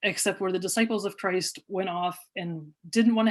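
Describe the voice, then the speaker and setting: Against a quiet background, a woman with an American accent speaks in a medium-pitched voice with ordinary pitch variation. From southwest Pennsylvania, Beaver County near Pittsburgh. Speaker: atheist activist and scientist. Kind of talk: public talk. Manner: hesitant, many fillers.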